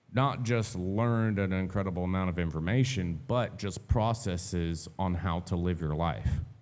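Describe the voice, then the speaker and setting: In a room with audible echo, a man with a very deep, low voice talks at a moderate pace with ordinary pitch variation. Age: 30s. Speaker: podcast host. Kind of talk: casual chat.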